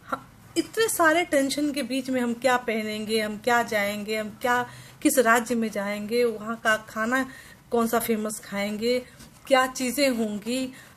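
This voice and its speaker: In a Bihar accent, a woman speaks with fairly high pitch and fairly even intonation. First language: Maithili (speaking Hindi). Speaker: vlogger. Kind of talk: casual vlog talk to camera. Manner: halting, with fillers and restarts.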